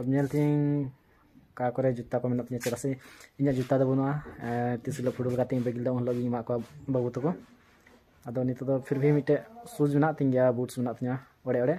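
A man's medium-pitched voice with a dark, mellow tone, little pitch movement and a moderate pace.

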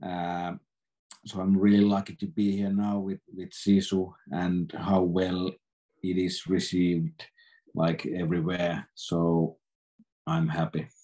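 This man's voice is very deep and low, with flat, monotone intonation. He talks very slowly with long, frequent pauses against a quiet background. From Finland. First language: Finnish. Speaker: film director. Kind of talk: interview. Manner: halting. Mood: relaxed, cheerful. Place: home room. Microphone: video call.

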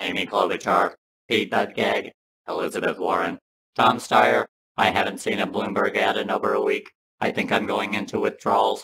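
A man performs a cartoonish character voice that sounds raspy. He keeps a moderate pace. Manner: earnest, simple-minded.

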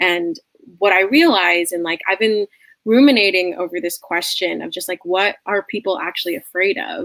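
Against a quiet background, a woman talks at a moderate pace with ordinary pitch variation, the sound dry with no echo. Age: 20s. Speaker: musical theater student; guest. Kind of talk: interview conversation. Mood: earnest, reflective. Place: home room.

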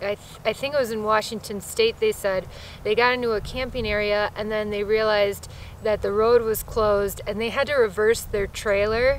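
Over light background noise, a woman speaks at a moderate pace with fairly even intonation, the sound dry with no echo. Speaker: solo traveler vlogger. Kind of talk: casual vlog chat. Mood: reflective, candid. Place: forest.

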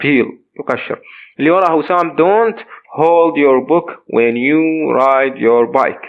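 A man with an Iraqi accent talks at a fairly slow pace, his fairly high pitch moving with ordinary variation. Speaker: English teacher. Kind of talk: lesson.

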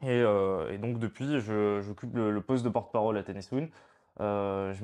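A man's fairly low voice at a moderate pace, fairly even in intonation, over a quiet background. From Provence, France (partly raised in Spain). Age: 20s. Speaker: political activist spokesperson. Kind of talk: interview. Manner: hesitant, many fillers and repetitions. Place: home room. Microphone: lapel.

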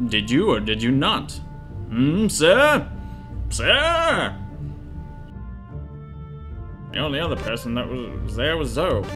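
A man puts on a character voice, speaking fairly slowly while clear music plays in the background. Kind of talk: formal, commanding. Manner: strained, demanding.

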